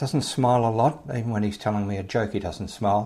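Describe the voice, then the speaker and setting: A man with an Australian accent, fairly low in pitch, dark and mellow in tone, fairly quick, with ordinary pitch variation, in a very clean recording with a silent background. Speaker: podcast host. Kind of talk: podcast intro monologue. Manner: casual, friendly.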